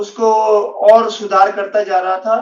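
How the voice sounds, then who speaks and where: A man speaks in a high pitch. His intonation is monotone and flat. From northern India (Punjab / Uttarakhand). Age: 50s. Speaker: interviewee sharing diet experience. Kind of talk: interview testimony. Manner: halting, many fillers.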